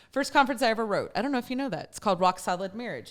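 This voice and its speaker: A woman speaks in an animated tone with a Texan accent. Her high pitch swings very widely on a very clean recording with a silent background. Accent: Texan American. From Texas. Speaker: talk show host. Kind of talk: casual chat.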